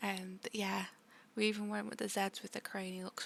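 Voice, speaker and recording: The speaker is soft-spoken, with a relaxed tone. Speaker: art content creator. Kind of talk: art tutorial voiceover.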